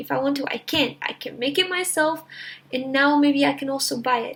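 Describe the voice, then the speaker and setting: The voice belongs to a woman and sits at a high pitch. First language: Portuguese. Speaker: YouTuber. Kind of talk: casual vlog talk to camera.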